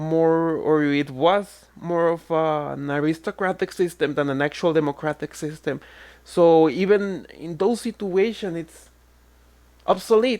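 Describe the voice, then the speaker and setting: A woman's fairly low voice in a Spanish accent, with ordinary pitch variation and a fairly slow pace. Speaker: online commentator. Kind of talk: reaction rant.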